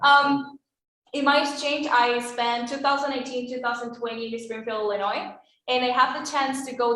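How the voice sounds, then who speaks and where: A woman's high voice at a moderate pace, with fairly even intonation and audible room echo. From Venezuela. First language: Spanish. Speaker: former exchange student. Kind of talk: testimony. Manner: casual, hesitant.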